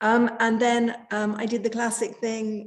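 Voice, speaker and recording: A woman talks very slowly. She has an English accent. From England. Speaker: coach. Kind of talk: casual chat. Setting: video call. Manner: hesitant with many fillers.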